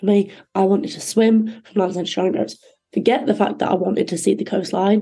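Her voice dark and mellow with vocal fry, a woman with a Yorkshire accent talks very fast at a medium pitch. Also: ordinary pitch variation. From northern England, North Yorkshire (Thirsk). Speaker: ocean rower and endurance swimmer. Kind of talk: interview. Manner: hesitant, many fillers.

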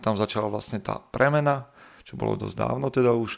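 Lively intonation marks a man's unremarkable speaking voice as he talks at a fairly quick pace. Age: 30s. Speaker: fitness coach and podcaster. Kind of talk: casual interview. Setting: remote call.

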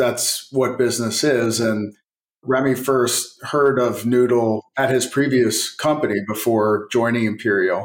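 A plain, everyday voice from a man comes at a medium pitch and a fairly slow pace, with very even loudness and fairly even intonation. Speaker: technology company executive. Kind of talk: casual interview.

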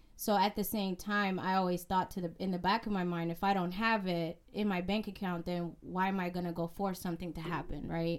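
A woman talks at a fairly quick pace with hardly any pauses. Her medium-pitched voice has monotone, flat intonation. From immigrant family, raised in US. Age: 30s. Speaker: real estate investor and author. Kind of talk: interview.

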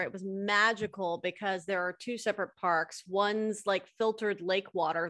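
A woman with a medium pitch speaks in an animated, upbeat tone at a fairly quick pace. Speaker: podcast host. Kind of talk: casual interview chat. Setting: remote call.

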